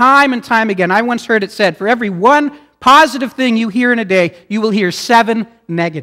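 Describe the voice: What you hear is plain reading aloud.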